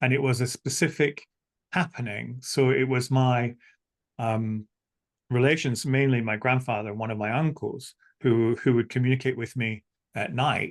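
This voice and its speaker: Someone talks at a moderate pace in a Scottish accent with fairly even intonation. The background is quiet. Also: man, medium pitch for a man. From Scotland. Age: 60s. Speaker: spiritual teacher and psychic medium. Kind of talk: interview. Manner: halting.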